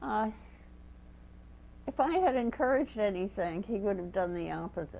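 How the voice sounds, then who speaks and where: Lively intonation runs through speech at a moderate pace, broken by long, frequent pauses, with noticeable background noise. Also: woman, medium pitch for a woman. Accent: American. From Baltimore, Maryland. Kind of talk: oral history interview answer.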